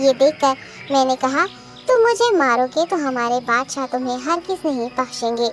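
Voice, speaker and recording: A female-sounding, cartoonish character voice speaks at a moderate pace. Clear background noise is present. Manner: polite, deferential.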